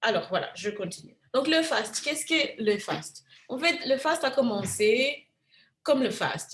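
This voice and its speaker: This woman talks at a fairly slow pace, her pitch swinging very widely. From Africa. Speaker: physician. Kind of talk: lecture.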